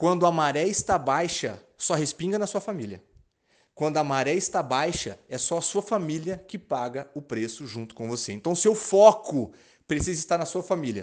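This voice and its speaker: With an animated tone and very wide pitch swings, a man speaks high-pitched at a moderate pace against a quiet background. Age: 30s. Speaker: sales and marketing coach. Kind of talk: motivational talk.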